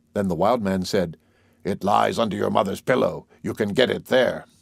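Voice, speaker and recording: A man puts on a character voice, pitched fairly low and delivered at a moderate pace. The recording is very clean, with a silent background. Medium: read story. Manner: solemn, commanding.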